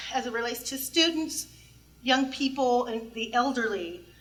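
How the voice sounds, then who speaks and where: A woman's raised, projected voice, high in pitch, bright and sharp in tone, with ordinary pitch variation at a moderate pace. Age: 60s. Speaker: public commenter at transit board meeting. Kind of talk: public comment at a meeting.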